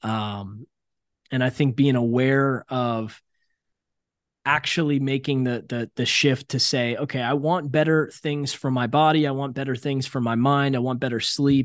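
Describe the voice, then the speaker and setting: A man with an American accent speaks in a normal speaking voice at medium pitch. His intonation is fairly even, his pace fairly slow, and the background quiet. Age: 30s. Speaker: entrepreneur and sales coach. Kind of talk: casual interview chat. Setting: remote call from his apartment.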